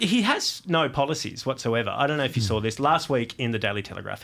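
The speaker has an Australian accent and ordinary pitch variation, heard on a very clean recording with a silent background. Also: man. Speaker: comedy podcast host. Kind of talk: satirical comedy podcast chat. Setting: studio.

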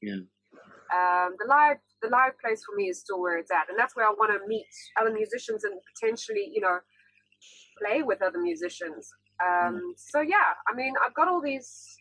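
A woman with a South African accent speaks at a moderate pace in a fairly high, bright, sharp voice with lively intonation. She leaves long, frequent pauses. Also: dry, close sound with no echo. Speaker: singer-songwriter. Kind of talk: casual interview. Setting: video call.

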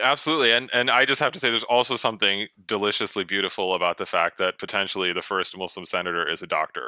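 Someone with an American accent speaks at a very fast pace in a bright, sharp tone with lively intonation. The sound is dry and close with no echo, on a very clean recording with a silent background. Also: man, fairly low pitch for a man. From US New England. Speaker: author. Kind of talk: casual interview chat.

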